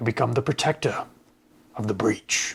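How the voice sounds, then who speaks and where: Using a put-on character voice, a man sounds raspy at medium pitch. He talks at a moderate pace. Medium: actual play. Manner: solemn, formal, pronouncing.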